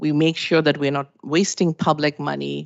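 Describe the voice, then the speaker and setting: A woman's very deep, low voice with a non-native accent, at a moderate pace. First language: not English. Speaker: municipal finance presenter. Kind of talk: presentation to council.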